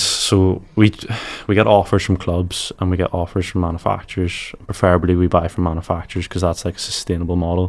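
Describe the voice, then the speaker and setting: A man speaks in an Irish accent with a very deep, low pitch. His intonation is fairly even, and the recording is very clean over a silent background. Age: 20s. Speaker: e-commerce founder. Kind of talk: podcast interview. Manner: casual.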